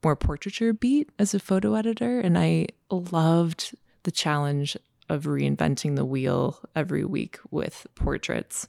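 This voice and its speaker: A woman with an American accent at a fairly slow pace, very even in loudness, in a dry, close sound with no echo. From Minnesota. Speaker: photographer. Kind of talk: casual interview chat. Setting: in person, studio.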